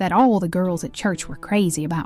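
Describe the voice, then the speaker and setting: Moderate pace and ordinary pitch variation, with music in the background. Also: woman. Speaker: storyteller. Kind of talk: folk story narration.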